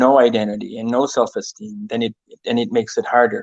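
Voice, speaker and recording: Speaking at a fairly quick pace with lively intonation, a man with a Maritime Canadian accent has a medium-pitched voice, and the sound is dry and close with no echo. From eastern New Brunswick, Canada (Mi'kmaq community). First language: Mi'kmaq. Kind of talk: interview. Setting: live-streamed online conversation. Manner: hesitant, many fillers.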